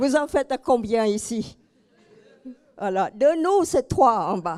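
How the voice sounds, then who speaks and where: In a very clean recording with a silent background and a dry, close sound with no echo, a woman with a high pitch speaks at a very slow pace with very wide pitch swings. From Cambodia. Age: 70s. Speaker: inspirational speaker. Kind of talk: public talk.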